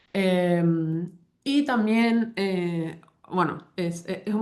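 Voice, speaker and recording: A woman speaks at a medium pitch with fairly even intonation. Audible room echo surrounds her voice. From Paraguay. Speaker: linguistics professor. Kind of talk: academic talk. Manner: halting, many fillers and false starts.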